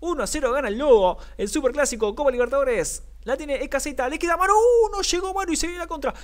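An animated man talks at a very fast pace with hardly any pauses, his extremely high voice making very wide pitch swings. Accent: Rioplatense. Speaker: sports commentator. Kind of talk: live commentary. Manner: animated, rapid-fire play-by-play; excitable, shouts at near-misses.

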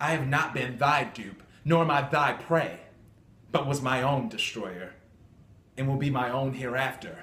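In a room with audible echo, a man with a medium-pitched voice, intense tone and ordinary pitch variation speaks at a fairly slow pace with long, frequent pauses. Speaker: amateur actor. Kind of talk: dramatic classical monologue, defiant theatrical soliloquy of verse. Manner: intense, declamatory, forceful and defiant. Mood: defiant. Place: home room. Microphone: phone near.

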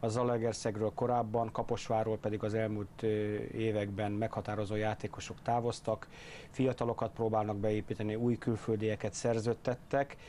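A man speaks at a moderate pace and a medium pitch, his tone dark and mellow. Light background noise can be heard. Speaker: basketball studio analyst. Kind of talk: studio analysis. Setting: studio. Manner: hesitant with fillers. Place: studio. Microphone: lapel.

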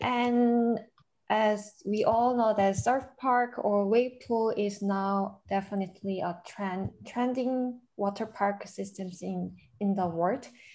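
With a Korean accent, the speaker moves at a very slow pace, the tone dark and mellow and the intonation fairly even. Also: woman. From South Korea. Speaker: conference moderator. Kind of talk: moderating a conference. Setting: video call. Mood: friendly, calm. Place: office. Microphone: webcam.

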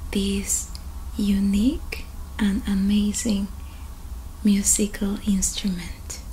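A woman talks at a very slow pace. Light background noise sits behind her. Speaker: ASMR creator. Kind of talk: soft-spoken show-and-tell vlog. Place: home room. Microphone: earbuds.

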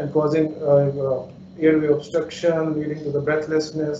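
The speaker keeps a moderate pace. Audible room echo and light background noise surround the voice. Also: man. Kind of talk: lecture.

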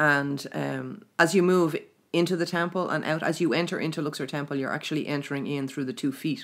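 In an Irish accent, a woman talks at a fairly quick pace with a very deep, low pitch. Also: ordinary pitch variation. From Ireland. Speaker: spiritual teacher running a mystery school. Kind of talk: casual interview chat about spirituality. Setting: recorded in Trim, Ireland.

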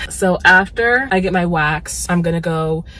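In a dry sound with no echo and light background noise, a woman speaks at a fairly low pitch with fairly even intonation. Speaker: vlogger. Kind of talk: casual vlog chat. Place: car. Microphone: phone near.

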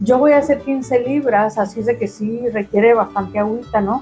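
A woman speaks at a fairly slow pace with ordinary pitch variation, faint music playing in the background. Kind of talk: cooking tutorial. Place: kitchen.

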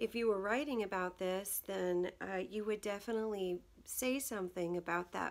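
The speaker uses an unforced reading voice. The delivery is simply read aloud.

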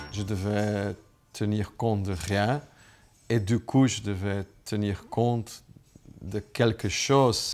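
The pace is very slow, broken by long, frequent pauses. Pitch varies in an ordinary way. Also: man. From Flanders, Belgium. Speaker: businessman. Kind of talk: personal testimony to camera. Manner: hesitant, many filler sounds. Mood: warm, reflective. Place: home room.

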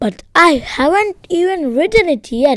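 A woman in a squeaky, put-on character voice, extremely high in pitch with very wide pitch swings, at a moderate pace. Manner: annoyed.

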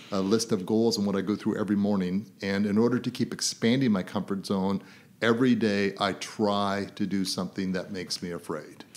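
In a very clean recording with a silent background, a man with a Canadian accent uses a normal speaking voice, fairly low in pitch, with fairly even intonation at a moderate pace. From Canada (born in Ireland, raised in Toronto, Calgary, Vancouver). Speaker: business coach and author. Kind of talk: interview.

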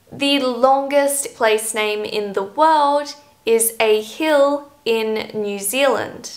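In an Australian accent, a woman speaks with a high pitch and ordinary pitch variation. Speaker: English teacher, YouTuber. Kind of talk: scripted educational talk to camera. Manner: clear, measured delivery for learners. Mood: friendly, cheerful.

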